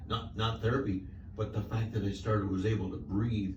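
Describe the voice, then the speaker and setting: A man with a fairly low voice and ordinary pitch variation talks over noticeable background noise, with audible room echo. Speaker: patient. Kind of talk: casual chat.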